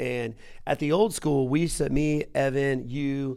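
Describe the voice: Speaking at a fairly slow pace, a man shows vocal fry and a slightly mellow tone, with fairly even intonation. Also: medium pitch for a man.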